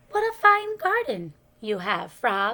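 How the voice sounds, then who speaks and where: In a put-on character voice, a woman talks at a fairly slow pace, pitched high with very wide pitch swings. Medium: read story. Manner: calm, patient.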